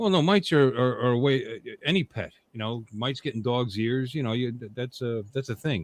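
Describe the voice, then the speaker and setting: An unremarkable speaking voice from a man, fairly quick with hardly any pauses and ordinary pitch variation. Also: medium pitch for a man. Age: 60s. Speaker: podcast co-host. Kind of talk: casual chat.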